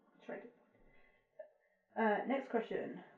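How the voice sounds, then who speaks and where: A woman speaks quietly with an English accent. Her voice is somewhat breathy. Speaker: vlogger. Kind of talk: casual chat.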